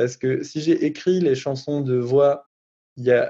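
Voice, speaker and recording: A dark, mellow, fairly high male voice. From France, Strasbourg (Alsace). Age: 20s. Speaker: rapper and songwriter. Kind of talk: testimony. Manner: hesitant, many fillers.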